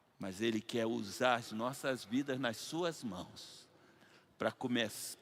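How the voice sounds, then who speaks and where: A man speaks at a very slow pace with ordinary pitch variation. The recording is very clean and the background silent. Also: medium pitch for a man. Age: 70s. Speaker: pastor. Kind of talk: sermon. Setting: church. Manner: animated.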